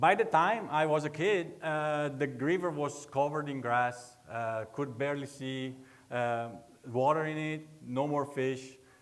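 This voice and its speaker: Fairly slow pace in an Italian accent, with audible room echo. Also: man, fairly high pitch for a man, ordinary pitch variation. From northeastern Italy (Veneto). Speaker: research agronomist. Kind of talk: public lecture. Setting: lecture hall with audience. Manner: halting, many fillers.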